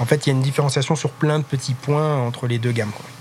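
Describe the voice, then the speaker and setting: Fairly even intonation carries a man's very fast speech. Noticeable background noise sits under it. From France, Loire. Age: 30s. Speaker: craft liqueur maker and business founder. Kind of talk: interview. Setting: in his warehouse.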